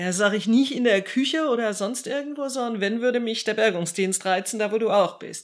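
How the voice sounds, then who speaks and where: In a very clean recording with a silent background, a woman of medium pitch speaks with lively intonation in an unremarkable speaking voice. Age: 50s. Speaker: civil protection volunteer leader. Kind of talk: interview answers.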